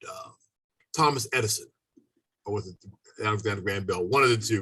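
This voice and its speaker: Bright and sharp in tone, a man's voice rushes along at a very fast pace. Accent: American. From US, Maryland. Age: 70s. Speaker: landscaper and life coach. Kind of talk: casual interview.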